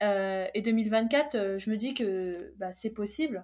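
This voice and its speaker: A woman with a medium-pitched voice and ordinary pitch variation. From France, Fontainebleau (born in Algeria). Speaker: track and field athlete. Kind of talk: casual chat.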